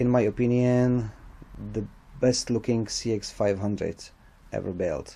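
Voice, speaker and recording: A man with a non-native accent speaks at a fairly slow pace in monotone, flat intonation, leaving long, frequent pauses. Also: medium pitch for a man. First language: not English. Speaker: motorcycle restorer. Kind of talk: casual talk to camera. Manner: hesitant, halting.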